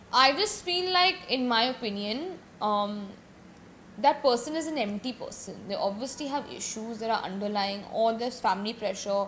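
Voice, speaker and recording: With noticeable background noise behind her, a woman speaks at a moderate pace in a fairly high pitch with lively intonation. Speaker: podcast guest, from a family of singers and actors. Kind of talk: casual interview chat.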